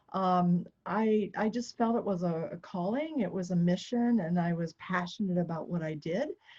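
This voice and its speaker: A woman with an American accent speaks at a moderate pace and medium pitch, with hardly any pauses. Her tone is dark and mellow, somewhat breathy, with ordinary pitch variation. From United States. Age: 60s. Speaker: triathlete and retired nonprofit founder. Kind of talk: podcast interview.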